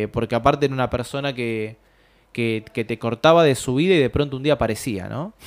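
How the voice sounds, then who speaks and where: Fairly quick speech in a Rioplatense accent with ordinary pitch variation, in a very clean recording with a silent background. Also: man, medium pitch for a man. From Buenos Aires, Argentina. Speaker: short story writer. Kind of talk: interview.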